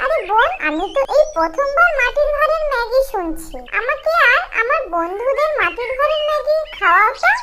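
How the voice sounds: Putting on a character voice, a woman talks fairly quickly with few pauses, her extremely high pitch taking big swings in a bright, sharp tone over faint background noise.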